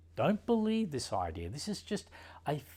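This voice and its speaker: A man at a fairly slow pace, somewhat breathy, with very wide pitch swings, on a very clean recording with a silent background. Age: 60s. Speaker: meditation teacher and osteopath. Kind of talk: teaching talk.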